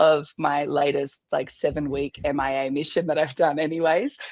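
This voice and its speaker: Moderate pace from a woman with an Australian accent. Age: 30s. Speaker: army veteran and wedding photographer. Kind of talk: podcast interview.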